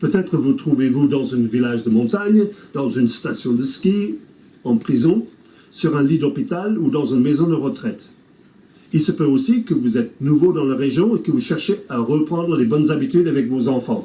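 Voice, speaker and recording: Speaking with an English Canadian accent, a man uses a fairly high, somewhat breathy voice with lively intonation. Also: moderate pace. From English-speaking Canada. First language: English (speaking French). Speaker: pastor. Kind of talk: scripted presentation.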